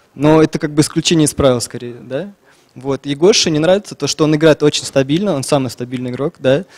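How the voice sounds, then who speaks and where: Speaking at a very fast pace against a quiet background, a man uses a fairly high pitch with ordinary pitch variation. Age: 20s. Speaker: esports player, tournament winner. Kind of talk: interview; interview answer. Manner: hesitant, many filler words. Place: hall. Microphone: handheld.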